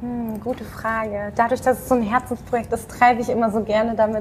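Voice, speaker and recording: A high-pitched woman's voice over noticeable background noise. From Dortmund area, Germany. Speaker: magazine founder, graphic designer. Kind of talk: interview, casual chat.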